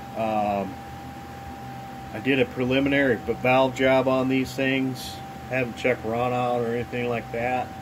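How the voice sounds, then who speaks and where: A man's medium-pitched, monotone voice with flat intonation, a moderate pace, long and frequent pauses, and noticeable background noise. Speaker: cylinder head porter, DIY video maker. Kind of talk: casual workshop tutorial. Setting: home workshop. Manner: loud; casual, hesitant with many fillers.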